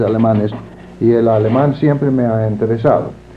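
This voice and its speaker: Over noticeable background noise, a man with an English accent speaks at a medium pitch and moderate pace, with ordinary pitch variation. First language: English (speaking Spanish). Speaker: librarianship scholar. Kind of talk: interview. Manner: halting, many fillers.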